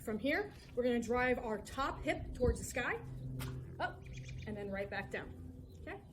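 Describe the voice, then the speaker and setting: With noticeable background noise and audible room echo, a woman talks at a moderate pace, varying her pitch an ordinary amount. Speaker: fitness coach. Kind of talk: workout instruction. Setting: outdoors. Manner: casual.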